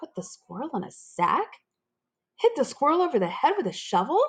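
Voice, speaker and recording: This put-on character voice is high and squeaky, with very wide pitch swings and a fairly quick pace. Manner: despairing.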